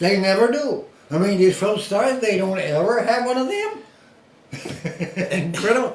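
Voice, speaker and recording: At a moderate pace with long, frequent pauses, a man with a high voice and ordinary pitch variation speaks amid noticeable background noise and audible room echo. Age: 70s. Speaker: former boxer. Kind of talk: casual chat. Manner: animated.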